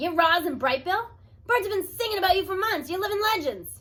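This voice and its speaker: In a put-on character voice, a woman talks at a fairly quick pace, squeaky and extremely high in pitch. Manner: excited.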